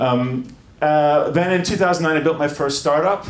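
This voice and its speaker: A man's voice shows ordinary pitch variation amid audible room echo and noticeable background noise. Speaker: music tech entrepreneur and former band singer. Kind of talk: conference talk. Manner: hesitant, many fillers.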